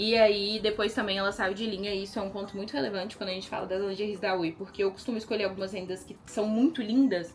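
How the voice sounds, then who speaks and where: A woman rattles along at a very fast pace and a medium pitch, with hardly any pauses. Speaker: lingerie designer and brand owner. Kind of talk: casual vlog. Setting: at home in closet. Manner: animated.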